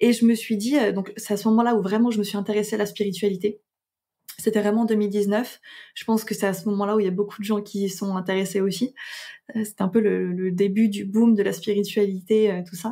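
A woman speaks at a fairly quick pace and medium pitch, somewhat breathy. Her tone is dark and mellow, her intonation monotone and flat. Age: 20s. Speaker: astrologer and podcaster. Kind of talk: interview conversation. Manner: hesitant with many fillers.

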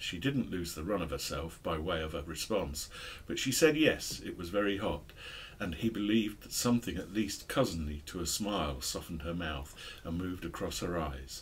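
A man speaks at a moderate pace in a very deep, low voice that is somewhat breathy. His intonation is lively, with light background noise behind him. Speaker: book discussion host. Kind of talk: book review chat and reading aloud. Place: shop. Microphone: studio mic.

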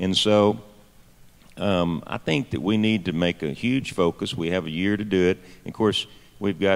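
In a Texan accent, a man talks at a fairly slow pace with a very deep, low pitch and ordinary pitch variation. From Texas. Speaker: state legislator; panelist. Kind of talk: panel discussion. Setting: stage with audience at a conference. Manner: halting, many fillers. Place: hall. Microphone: handheld.

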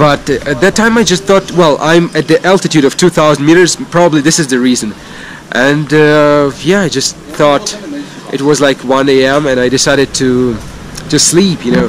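Over light background noise, a man with a fairly high pitch speaks at a moderate pace with ordinary pitch variation, the sound dry with no echo. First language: not English (non-native speaker). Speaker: cycling vlogger. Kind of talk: casual vlog monologue. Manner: halting, many fillers. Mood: relaxed storytelling. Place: street. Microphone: phone near.

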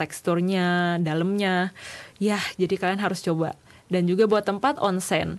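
A woman is speaking. She has an Indonesian accent. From Indonesia, Jakarta. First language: Indonesian (speaking Japanese). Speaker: university student intern. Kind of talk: presentation. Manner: casual. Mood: friendly, enthusiastic. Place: studio.

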